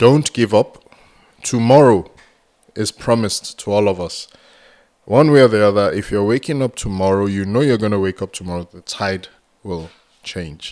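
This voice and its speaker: A man's fairly low voice with a Nigerian accent, moderate pace, ordinary pitch variation, big swings in loudness, and long, frequent pauses. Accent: Nigerian (Yoruba) English. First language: Yoruba. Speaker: entrepreneur and mentor. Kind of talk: podcast interview.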